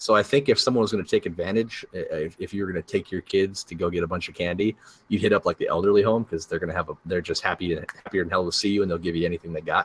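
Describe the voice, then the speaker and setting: The delivery is very fast, somewhat breathy and fairly even in intonation, with hardly any pauses. The sound is dry and close with no echo, on a very clean recording with a silent background. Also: man, very deep, low pitch for a man. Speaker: podcast co-host. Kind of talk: casual chat.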